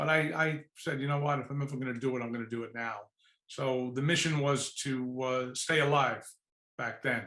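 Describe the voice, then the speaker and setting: A man speaks with a New York accent. His tone is bright and sharp, and his intonation stays fairly even. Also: medium pitch for a man, moderate pace. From New York City, Lower East Side. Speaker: executive search firm founder. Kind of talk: podcast interview.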